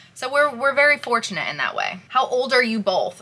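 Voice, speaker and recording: A woman talking very fast amid noticeable background noise. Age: 20s. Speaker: YouTuber vlogging with her partner. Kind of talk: casual Q&A chat.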